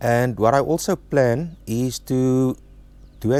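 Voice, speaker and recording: A man speaks with an Afrikaans South African accent. His tone is dark and mellow. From South Africa, Free State. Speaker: travel vlogger. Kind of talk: casual vlog talk to camera. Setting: outdoors at a campsite, under a tent. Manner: halting, with fillers.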